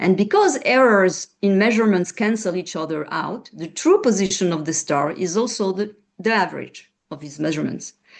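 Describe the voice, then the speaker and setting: A woman with a French accent and medium pitch talks at a moderate pace with ordinary pitch variation and hardly any pauses. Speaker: researcher. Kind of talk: panel presentation. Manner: halting.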